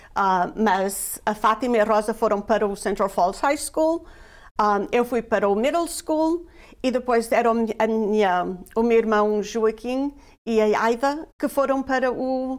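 Against a quiet background, a woman talks at a very slow pace, her fairly high pitch showing ordinary variation. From Portugal (Guarda district village), emigrated to US at 11; Portugal. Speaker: immigrant guest sharing life story; guest. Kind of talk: interview, personal testimony. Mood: warm, reminiscing. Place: studio. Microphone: lapel.

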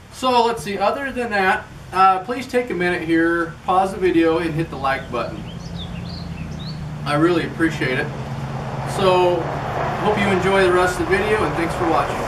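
Through loud background noise, a man speaks with ordinary pitch variation and long, frequent pauses. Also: moderate pace. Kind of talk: tutorial. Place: garage. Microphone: camera far.

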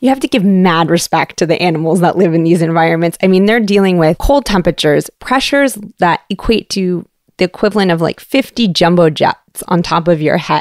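With a slight Canadian accent, a woman speaks at a fairly quick pace and fairly low pitch, with ordinary pitch variation. Her loudness stays very even in a dry, close sound with no echo. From Canada, Toronto. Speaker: science communicator for an ocean research foundation. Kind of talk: interview.

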